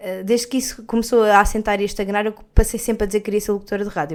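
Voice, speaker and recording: Very fast speech from a woman at a medium pitch, on a very clean recording with a silent background. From Portugal, Algarve. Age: 20s. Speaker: podcast host, communication student. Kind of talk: solo podcast monologue. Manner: casual, hesitant with fillers.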